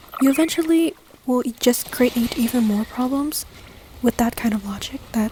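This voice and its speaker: At a moderate pace, a soft-spoken woman talks in a high voice over noticeable background noise. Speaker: ASMR gaming content creator. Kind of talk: casual talk to camera, gaming discussion.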